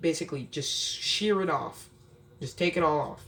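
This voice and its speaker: The speaker is a man. There is noticeable background noise behind him. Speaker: pet care youtuber. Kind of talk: tutorial. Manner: casual, animated.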